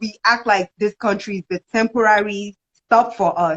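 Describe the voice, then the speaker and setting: A woman speaks at medium pitch with a Nigerian accent. Her intonation stays fairly even. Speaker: video host. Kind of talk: casual chat.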